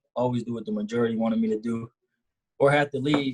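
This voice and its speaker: A man of medium pitch at a fairly quick pace, fairly even in intonation, in a dry, close sound with no echo. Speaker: college athlete. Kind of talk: panel discussion. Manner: halting.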